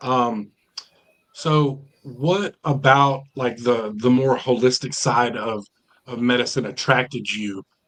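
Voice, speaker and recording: A man with a plain, everyday voice and ordinary pitch variation. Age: 40s. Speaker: podcast host. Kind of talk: interview.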